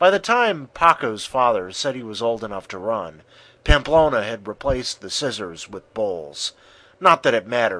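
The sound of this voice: The voice here reads in an unforced way.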